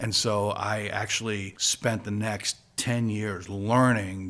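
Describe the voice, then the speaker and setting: A man with a fairly low pitch and a normal speaking voice, fairly even intonation, in a very clean recording with a silent background. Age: 60s. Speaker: guitarist in a party cover band. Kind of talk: podcast interview. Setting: studio.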